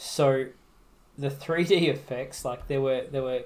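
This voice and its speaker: A somewhat breathy man at a medium pitch and moderate pace, in an Australian accent. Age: 30s. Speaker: podcast co-host. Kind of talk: casual chat.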